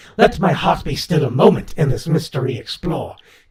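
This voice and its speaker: A man's raspy, put-on character voice at medium pitch. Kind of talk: poetry reading.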